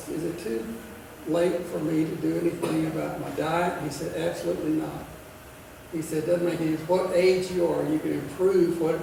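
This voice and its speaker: Room echo is audible and background noise noticeable as a man speaks at a moderate pace. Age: 80s+. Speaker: retired family physician. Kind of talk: talk to a club luncheon. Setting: luncheon meeting with audience.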